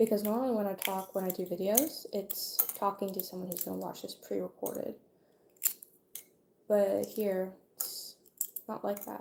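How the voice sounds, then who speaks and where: A quiet woman's voice at medium pitch, fairly even in intonation, with long, frequent pauses and noticeable background noise. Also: moderate pace. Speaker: video creator. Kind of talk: casual livestream monologue. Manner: somewhat quiet.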